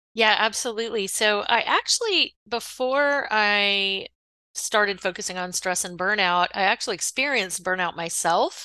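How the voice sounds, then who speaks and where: A woman's bright, sharp voice at medium pitch, with ordinary pitch variation, a moderate pace and a quiet background. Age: 50s. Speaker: mindfulness coach and author. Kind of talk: interview.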